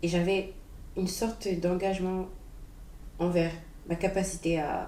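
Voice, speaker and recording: Monotone, flat intonation at a fairly slow pace, with audible room echo and noticeable background noise. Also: woman. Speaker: vlogger sharing personal reflections. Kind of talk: unprepared personal monologue. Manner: halting, searching for words.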